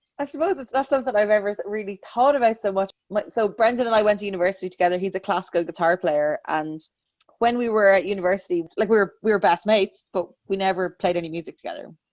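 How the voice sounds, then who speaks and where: Very fast speech in a Dublin accent with ordinary pitch variation, in a dry, close sound with no echo. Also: woman, medium pitch for a woman. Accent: Dublin Irish. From Ireland, Dublin. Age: 30s. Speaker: singer-songwriter. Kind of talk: interview conversation.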